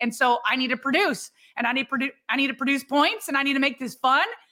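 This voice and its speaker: A woman speaks at a very fast pace in a high pitch, her voice raised and projected. Her tone is bright and sharp. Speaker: sports podcast co-host. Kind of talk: casual chat.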